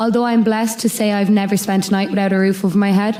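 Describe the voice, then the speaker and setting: Fairly quick speech in a western Irish accent, dark and mellow in tone, with monotone, flat intonation. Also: woman. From Ireland (west: Mayo, Sligo, Clare). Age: 20s. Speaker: student speaker sharing lived experience. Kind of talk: prepared speech / testimony. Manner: reading from a script, some pauses.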